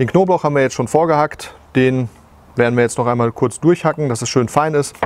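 His pitch moves in an ordinary way. The man's delivery is fairly quick. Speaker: barbecue cooking show host. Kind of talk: tutorial. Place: garden. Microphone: lapel.

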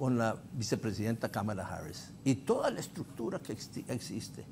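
Light background noise accompanies a somewhat breathy man speaking at a moderate pace. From Honduras. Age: 70s. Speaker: former ambassador and party politician; party politician. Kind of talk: political talk show panel. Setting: TV studio. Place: studio.

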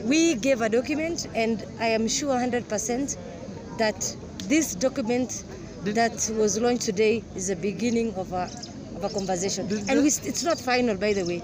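A moderate pace, a dry sound with no echo, and crowd noise in the background. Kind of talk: interview answer. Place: open country.

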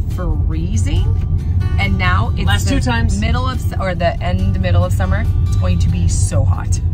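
Over loud background music, a woman talks at a moderate pace with ordinary pitch variation. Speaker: family vlogger. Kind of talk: casual vlog chat. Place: car. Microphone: phone near.

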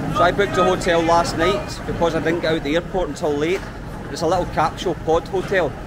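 With noticeable background noise behind him, a man with a Scottish accent talks at a very fast pace in a high pitch and monotone, flat intonation. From Scotland. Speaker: travel vlogger. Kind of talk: travel vlog narration. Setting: outdoors. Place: market. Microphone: phone near.

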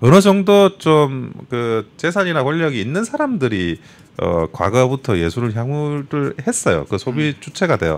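Pitch swinging very widely, a man delivers his speech at a fairly slow pace. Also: fairly high pitch for a man. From South Korea, Busan; South Korea. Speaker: lawyer, political commentator. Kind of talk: talk show interview. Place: studio. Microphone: studio mic.

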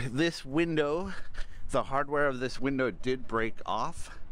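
The recording is dry with no echo as a man talks at a moderate pace. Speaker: RV owner reviewing his van. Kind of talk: casual vlog walkthrough tour. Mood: relaxed, upbeat. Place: open country. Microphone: phone near.

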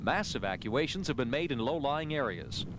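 A man speaks at medium pitch and a moderate pace, with big pitch swings. Background noise is clearly audible.

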